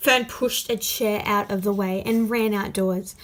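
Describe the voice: Fairly even intonation in plain reading aloud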